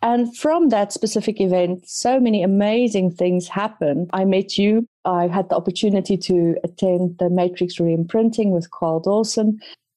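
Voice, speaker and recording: At a moderate pace and with hardly any pauses, a woman speaks in a dark, mellow tone at medium pitch, with ordinary pitch variation and very even loudness. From South Africa. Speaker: psychologist and HR consultant, author. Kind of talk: interview.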